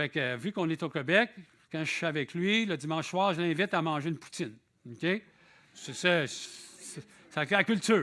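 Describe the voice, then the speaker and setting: A man with a Quebec accent speaks at a moderate pace with a fairly high pitch, a bright, sharp tone and ordinary pitch variation. His loudness swings widely on a very clean recording with a silent background. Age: 60s. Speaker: visiting preacher. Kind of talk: sermon. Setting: church. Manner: conversational.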